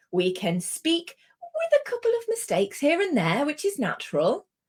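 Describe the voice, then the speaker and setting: With a British accent, a woman speaks in a somewhat breathy voice. Her pitch swings very widely. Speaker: English language instructor. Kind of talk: online lesson.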